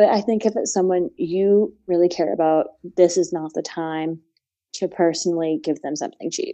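A woman speaks with a plain, everyday voice at a fairly low pitch. Her pace is moderate and her intonation fairly even. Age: 20s. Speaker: gift and astrology contributor. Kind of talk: casual chat.

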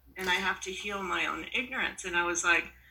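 Over noticeable background noise, a woman speaks fairly quickly at medium pitch. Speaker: retreat participant. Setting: video call.

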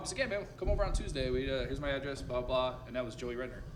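Against noticeable background noise, a man speaks with audible room echo. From Sarasota, Florida. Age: 40s. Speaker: brewery owner. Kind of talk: interview.

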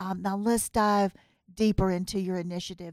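In a very clean recording with a silent background and a dry, close sound with no echo, a woman speaks at a moderate pace with a Southern US accent. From US South. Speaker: podcast host. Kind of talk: interview. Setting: studio.

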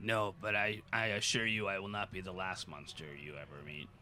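A man uses a put-on character voice, fairly low in pitch. He speaks at a moderate pace against clear background noise. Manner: menacing, threatening.

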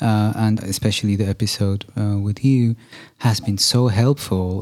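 A man with an unremarkable speaking voice, fairly low in pitch, with fairly even intonation. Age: 40s. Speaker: podcast host and musician. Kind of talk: casual interview.

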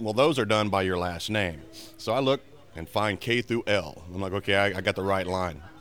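Music plays in the background as a man talks. He has an American accent and a fairly low pitch. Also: ordinary pitch variation, moderate pace. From Maryland. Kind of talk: anecdote.

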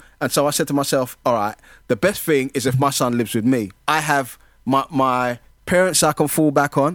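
A man of medium pitch talks at a moderate pace with a South London accent. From London (Brixton), African heritage. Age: 50s. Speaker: community mentor. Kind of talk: casual chat.

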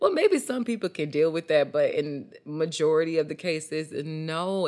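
A woman speaks with a very deep, low pitch and an animated tone. Her pace is moderate, against a quiet background. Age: 20s. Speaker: podcast host. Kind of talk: casual chat.

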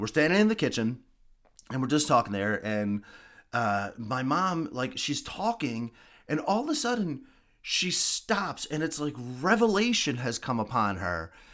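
A man's fairly high, fairly slow voice with very wide pitch swings. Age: 40s. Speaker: podcast host, cancer patient. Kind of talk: personal monologue. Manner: halting.

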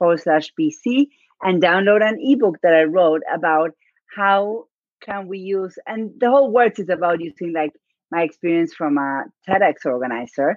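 A woman with a non-native accent talks at a moderate pace, her fairly low voice carrying lively intonation. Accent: noticeable non-native. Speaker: podcast guest, business coach. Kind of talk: conversational, confident. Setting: live stream / video call.

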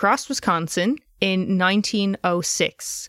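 A woman speaks very slowly at a medium pitch with an Irish accent, in a dry, close sound with no echo. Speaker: true crime podcast host. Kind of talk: casual chat with scripted case narration.

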